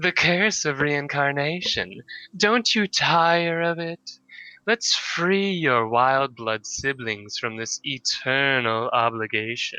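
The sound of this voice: A man speaks at a very slow pace in a put-on character voice. His fairly high pitch swings very widely.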